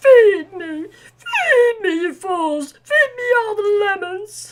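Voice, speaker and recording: A woman uses a put-on character voice, extremely high in pitch and very slow. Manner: demanding.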